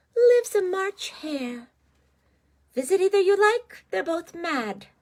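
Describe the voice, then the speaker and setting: A woman's put-on character voice, squeaky and extremely high, with very wide pitch swings and a fairly slow pace. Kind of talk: bedtime story. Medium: read story. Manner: teasing, cryptic.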